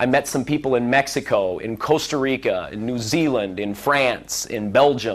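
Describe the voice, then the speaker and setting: Speaking with a Midwestern American accent, a man moves at a fairly slow pace in a medium pitch with ordinary pitch variation. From US Midwest, Central Illinois. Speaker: former car dealership manager giving a speech. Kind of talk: speech to a seminar audience. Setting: seminar room with audience. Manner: deliberately slowed pace.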